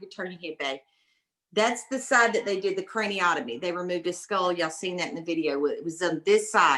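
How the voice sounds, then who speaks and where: A woman's animated voice in a Southern US accent. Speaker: mother of brain injury survivor, speaker. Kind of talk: talk to a class. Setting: video call.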